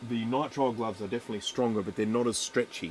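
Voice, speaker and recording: This man has an Australian accent. His intonation is fairly even. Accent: Australian, slurred. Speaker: electronics repair streamer. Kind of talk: live stream chat while repairing. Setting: live stream. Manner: casual, chatty.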